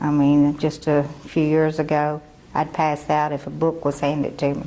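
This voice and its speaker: A woman speaks at a very deep, low pitch and a moderate pace. Her intonation is monotone and flat. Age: 60s. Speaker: adult literacy learner. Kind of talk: testimony.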